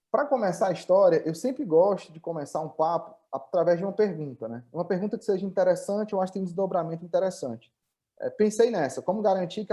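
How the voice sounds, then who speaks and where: A man with a northeastern Brazilian accent speaks very fast with hardly any pauses, in a high voice with a dark, mellow tone. His intonation is lively and his loudness swings widely. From Brazil, Northeast (Ceará). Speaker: tech company founder and CEO. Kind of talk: webinar presentation. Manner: hesitant, many filler repetitions.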